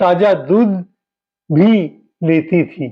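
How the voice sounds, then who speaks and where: This man speaks with a high-pitched voice. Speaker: blogger on senior living. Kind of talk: narration to camera about a visit.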